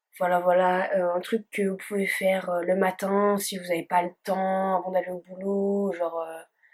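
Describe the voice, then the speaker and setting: A woman at medium pitch speaks at a fairly slow pace. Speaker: beauty vlogger. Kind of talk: makeup tutorial chat. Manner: hesitant, many fillers.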